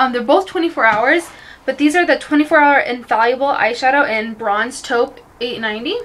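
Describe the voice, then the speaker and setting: Here a woman speaks in a high voice. Her intonation is lively. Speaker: beauty vlogger. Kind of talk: casual vlog chat. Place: bathroom. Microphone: phone near.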